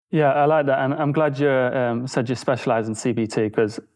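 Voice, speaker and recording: A man with an ordinary speaking voice, a fairly quick pace and fairly even intonation. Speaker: podcast host. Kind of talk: casual interview conversation.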